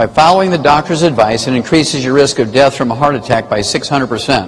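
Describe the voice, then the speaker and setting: A man at medium pitch and a very fast pace, with ordinary pitch variation and noticeable background noise. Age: 70s. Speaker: health lecturer. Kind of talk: lecture.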